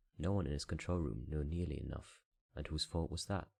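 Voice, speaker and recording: A soft-spoken man with a European accent, a very deep, low pitch, a raspy voice with vocal fry, a calm tone and ordinary pitch variation. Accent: European non-native English. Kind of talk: audiobook reading. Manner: soft-spoken, calm.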